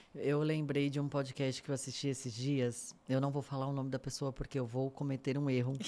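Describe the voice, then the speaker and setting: Dark, mellow speech in a flat monotone, fairly quick and with hardly any pauses, its loudness very even throughout. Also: woman, very deep, low pitch for a woman. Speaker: podcast host. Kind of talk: podcast interview.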